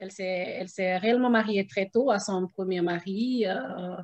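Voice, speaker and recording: Very slow speech unfolds with fairly even intonation. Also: woman. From Guinea. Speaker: mother. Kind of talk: interview answer. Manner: hesitant, many fillers.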